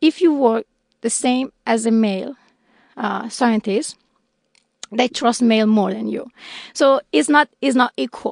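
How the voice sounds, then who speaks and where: Using a fairly high pitch with ordinary pitch variation, a woman speaks at a fairly slow pace with long, frequent pauses, recorded with a dry, close sound and no echo. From Iran. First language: Persian. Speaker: scientist. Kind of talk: interview.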